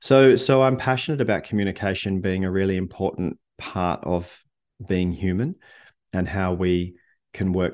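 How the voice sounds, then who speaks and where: Ordinary pitch variation over a quiet background. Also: man. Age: 50s. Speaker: author and communication coach. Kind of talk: casual interview. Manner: halting.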